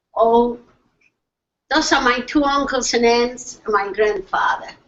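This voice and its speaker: Loud and high-pitched, a woman talks at a moderate pace. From Poland, Lublin. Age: 80s+. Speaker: Holocaust survivor speaker. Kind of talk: testimony. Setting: video call.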